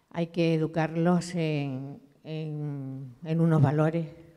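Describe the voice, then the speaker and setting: A woman's very deep, low voice, dark and mellow in tone, with fairly even intonation over a quiet background. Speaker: audience member. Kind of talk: audience comment in Q&A. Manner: halting. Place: hall. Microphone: handheld.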